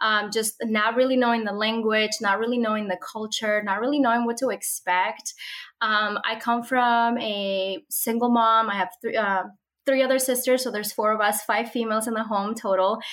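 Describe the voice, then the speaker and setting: A fairly high-pitched woman with a Spanish accent. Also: moderate pace. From Mexico (Monterrey), moved to Minnesota at 12. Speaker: social media content creator and homeschooling mother. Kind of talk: interview. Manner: warm and enthusiastic.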